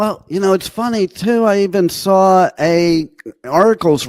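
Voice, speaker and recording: A man speaks with a New Jersey accent. His intonation is lively and his pace fairly slow. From New York and New Jersey. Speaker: internet radio host. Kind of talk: casual interview chat.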